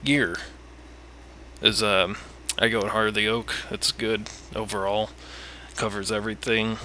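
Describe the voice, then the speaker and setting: A man mumbles at a fairly low pitch with fairly even intonation. He moves at a moderate pace, broken by long, frequent pauses. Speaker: gamer giving a game guide. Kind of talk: casual game tutorial talk. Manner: rambling, mumbling with pauses.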